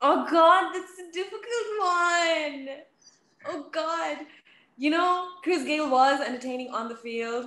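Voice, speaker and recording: A woman projects her raised voice at an extremely high pitch, her bright, sharp tone rising and falling in lively intonation at a very slow pace amid audible room echo. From Australia. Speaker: sports TV presenter. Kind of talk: casual interview. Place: home room. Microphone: video call.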